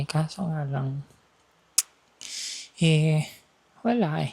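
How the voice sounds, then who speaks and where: A woman's very deep, low-pitched voice at a very slow pace. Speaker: vlogger. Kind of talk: casual walking vlog. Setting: outdoors, walking on street at night. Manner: soft-spoken.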